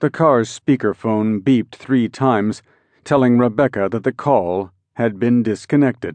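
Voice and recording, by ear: The setting has a quiet background. Against it comes reading aloud in a natural voice, with ordinary pitch variation.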